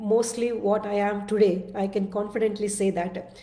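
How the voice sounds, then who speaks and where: A woman speaks at a fairly slow pace with fairly even intonation. Audible room echo surrounds her voice. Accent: Telugu. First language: Telugu. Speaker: self-development speaker. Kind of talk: casual monologue (live video). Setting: live-streamed video. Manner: halting, many fillers and restarts.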